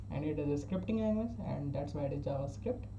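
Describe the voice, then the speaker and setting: A man talks with an Indian accent. The room echo is audible. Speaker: self-taught programming learner. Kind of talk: casual tutorial. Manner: halting, with frequent restarts.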